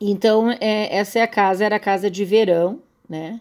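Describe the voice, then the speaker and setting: A woman's medium-pitched voice, with ordinary pitch variation, proceeds fairly slowly. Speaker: school teacher. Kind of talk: recorded slide lecture. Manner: halting, many fillers and repetitions.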